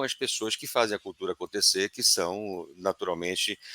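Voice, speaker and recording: Close and dry with no echo, a man's fairly low voice carries a bright, sharp tone. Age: 60s. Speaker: organizational culture consultant. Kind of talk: webinar panel discussion.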